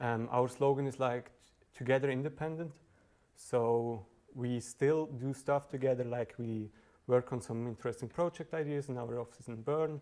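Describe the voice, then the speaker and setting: With a Swiss German accent, a man talks at a moderate pace. His tone is dark and mellow, with fairly even intonation. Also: medium pitch for a man. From southern Switzerland (Valais, Brig). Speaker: software engineer, meetup speaker. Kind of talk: tech talk presentation. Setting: meetup with live audience. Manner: hesitant, with fillers and restarts.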